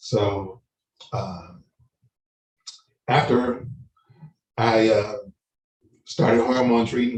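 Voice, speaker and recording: Somewhat breathy, the voice keeps its intonation fairly even. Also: man. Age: 60s. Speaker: prostate cancer survivor, panelist. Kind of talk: testimony. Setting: online live-streamed panel. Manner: halting, many fillers.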